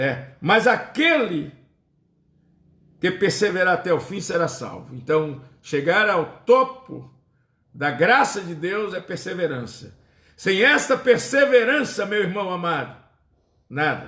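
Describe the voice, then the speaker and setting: A man speaks in a raised, projected voice at a high pitch with very wide pitch swings, at a very slow pace with long, frequent pauses. Audible room echo surrounds him. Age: 60s. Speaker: pastor. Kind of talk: sermon.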